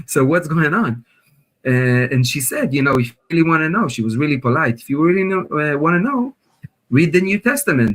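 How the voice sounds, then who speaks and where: With an Israeli accent, a man speaks at a fairly quick pace and a fairly high pitch. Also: lively intonation. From northern Israel, kibbutz near Lebanon border. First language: Hebrew. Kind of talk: testimony. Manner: halting, many fillers.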